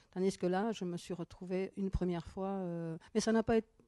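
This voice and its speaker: Her voice has a dark, mellow tone at a medium pitch. The woman speaks at a fairly quick pace. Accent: Basque. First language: Basque (speaking French). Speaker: author and professor. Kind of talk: interview. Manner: halting.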